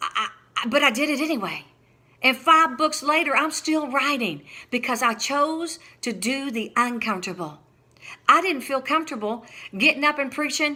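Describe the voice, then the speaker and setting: Projecting loudly, a woman with a high voice sounds animated and bright, her sharp tone and lively intonation captured on a very clean recording with a silent background. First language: not English. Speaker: preacher and author. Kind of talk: sermon.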